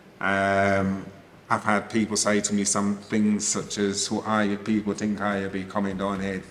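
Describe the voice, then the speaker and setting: An English accent, monotone and flat, at a moderate pace. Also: man. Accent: pronounced English. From England. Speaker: podcast moderator. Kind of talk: panel discussion. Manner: hesitant with many ums.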